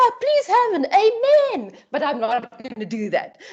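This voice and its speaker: Noticeable background noise surrounds a woman's voice. She speaks at a fairly slow pace in an animated tone. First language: not English. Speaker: lecturer. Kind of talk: online orientation talk.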